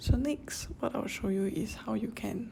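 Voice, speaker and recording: The speaker talks at a fairly slow pace with a Singaporean accent. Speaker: personal finance YouTuber. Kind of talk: casual app tutorial voice-over.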